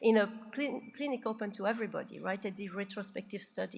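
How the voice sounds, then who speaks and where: Somewhat breathy and fairly high-pitched, a woman speaks at a fairly quick pace with fairly even intonation. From Belgium. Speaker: psychiatrist, keynote speaker. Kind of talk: conference Q&A. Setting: conference stage with audience.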